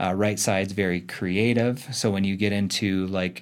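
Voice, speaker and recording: This man has a normal speaking voice, fairly low in pitch, with fairly even intonation. The recording is very clean and the background silent. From Arizona. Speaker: chiropractor and performance coach. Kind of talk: casual interview. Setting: studio.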